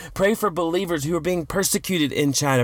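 With a warm tone, a man speaks at a high pitch with ordinary pitch variation. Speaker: podcast host and ministry leader. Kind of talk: fervent prayer, intercessory, earnest. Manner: earnest, pleading, halting with repeated phrases; warm, devotional.

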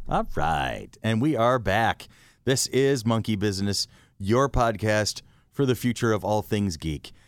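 On a very clean recording with a silent background, a man with a normal speaking voice talks at a fairly slow pace in a fairly low pitch, with ordinary pitch variation and very even loudness. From Rochester, New York. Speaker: podcast host. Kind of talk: casual chat.

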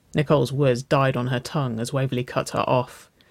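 Here is an unforced reading voice. Its intonation stays fairly even.

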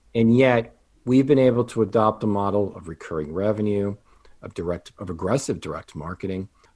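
In a plain, everyday voice, a man speaks at a fairly low pitch with ordinary pitch variation and big swings in loudness. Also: fairly quick pace. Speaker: financial advisor and business coach. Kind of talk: casual interview chat.

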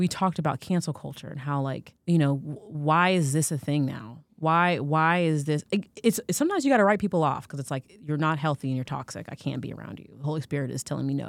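A woman's very deep, low voice with an American accent, very fast, ordinary pitch variation and big swings in loudness, in a very clean recording with a silent background. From United States. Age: 40s. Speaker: podcast co-host. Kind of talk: casual chat.

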